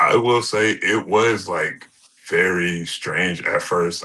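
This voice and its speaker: A man against a quiet background. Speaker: pro wrestler. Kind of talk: interview. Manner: halting.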